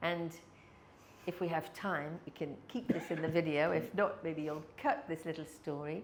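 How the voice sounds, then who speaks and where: The speaker has an English accent, a moderate pace and ordinary pitch variation. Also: woman, fairly low pitch for a woman. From England. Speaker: sales and people skills trainer. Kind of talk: podcast interview.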